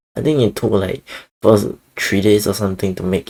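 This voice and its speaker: Very deep, low male pitch delivered at a fairly quick pace. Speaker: podcast host and vtuber. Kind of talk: casual solo podcast talk. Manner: halting, many fillers.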